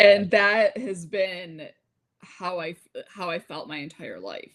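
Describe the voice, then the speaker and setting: A woman with an American accent speaks very slowly at a medium pitch with ordinary pitch variation. Her loudness swings widely. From United States, Lebanese family. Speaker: podcast host. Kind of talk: casual chat. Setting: live stream.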